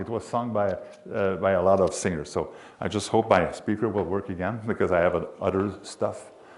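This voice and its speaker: A man with a Quebec accent at a moderate pace. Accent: Québécois French accent in English. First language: French. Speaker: sports announcer and hockey historian. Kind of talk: history presentation. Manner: halting.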